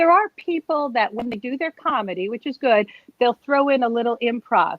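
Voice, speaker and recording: A woman with an American accent speaks in a high pitch with an animated tone. Her intonation is lively. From US Northeast, Bethlehem, Pennsylvania. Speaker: nurse and comedian. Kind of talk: interview. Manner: fast.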